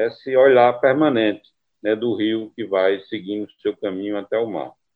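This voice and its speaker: A man speaks at a fairly slow pace with ordinary pitch variation in an unremarkable speaking voice. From Brazilian Northeast (Caruaru, Pernambuco; Campina Grande, Paraíba). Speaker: poet and book editor. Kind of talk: interview.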